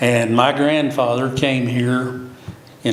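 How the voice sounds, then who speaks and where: There is audible room echo and noticeable background noise as a man with an American accent speaks in a monotone, flat way. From Oklahoma, near Cushing. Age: 70s. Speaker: city commissioner candidate. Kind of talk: interview.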